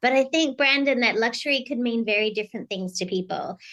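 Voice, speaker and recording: A woman with an Australian accent sounds bright and sharp, her fairly high pitch moving in lively intonation. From Australia, Sydney. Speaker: keynote speaker and executive strategist. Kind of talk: podcast interview. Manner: energetic.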